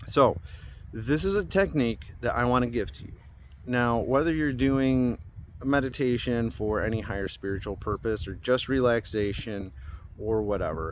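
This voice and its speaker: This man has an unremarkable speaking voice at a medium pitch, talking at a moderate pace with lively intonation and big swings in loudness. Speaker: spiritual YouTuber. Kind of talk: casual monologue.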